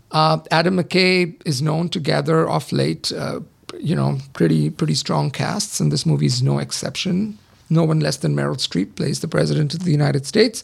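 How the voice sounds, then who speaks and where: Noticeable background noise is present. The talking proceeds at a moderate pace. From India. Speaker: podcast co-host, film reviewer. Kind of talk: casual chat. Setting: studio.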